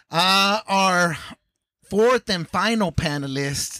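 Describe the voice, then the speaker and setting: Lively intonation and an animated, enthusiastic, bright, sharp tone mark this man's voice, heard in a very clean, dry, close recording with no echo and a silent background. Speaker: podcast co-host. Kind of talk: casual chat.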